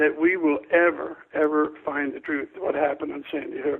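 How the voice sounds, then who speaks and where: A man with an American accent at a moderate pace, with ordinary pitch variation. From Florida. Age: 60s. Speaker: school safety expert. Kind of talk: radio interview. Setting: phone call. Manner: emphatic.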